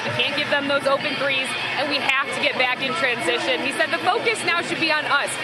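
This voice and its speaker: Woman's high voice at a fairly quick pace with ordinary pitch variation, music playing behind her. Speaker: sports broadcaster. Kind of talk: sideline report relaying a coach's halftime or timeout comments.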